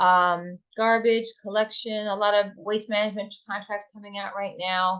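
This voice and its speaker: Barely pausing, a woman speaks in a medium pitch with monotone, flat intonation. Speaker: sales rep giving software demo. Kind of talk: webinar product demo. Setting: online webinar. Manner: fast.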